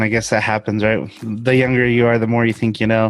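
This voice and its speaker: The man has a medium pitch. He talks in a Spanish accent. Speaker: interviewee sharing personal story. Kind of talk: interview.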